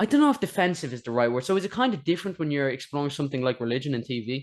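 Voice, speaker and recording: Over a quiet background, a man with an Irish accent talks at a very fast pace in a fairly high pitch, with lively intonation. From Ireland. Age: young. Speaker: interviewer. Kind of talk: interview.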